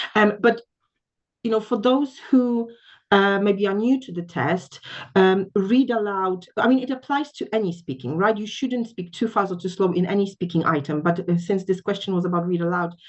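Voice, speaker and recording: A woman's medium-pitched voice in a Polish accent, at a moderate pace. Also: ordinary pitch variation. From Poland. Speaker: English test trainer. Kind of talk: panel discussion. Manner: hesitant, many fillers.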